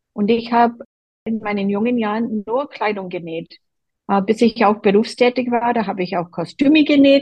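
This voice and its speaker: A woman with a fairly high pitch and ordinary pitch variation speaks at a moderate pace. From Boston, US East Coast. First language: English (speaking German). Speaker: quilter, quilt group member. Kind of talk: interview.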